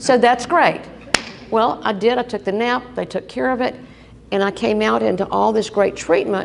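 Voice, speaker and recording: With lively intonation, a woman speaks in a fairly high voice over noticeable background noise. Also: moderate pace. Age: 70s. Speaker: breast cancer survivor speaker. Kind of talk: personal testimony speech. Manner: animated.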